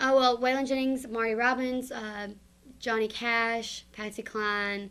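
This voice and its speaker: In a Southern US accent, a woman with a fairly high pitch talks at a fairly slow pace. Her intonation is monotone and flat on a very clean recording with a silent background. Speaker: singer. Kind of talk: interview.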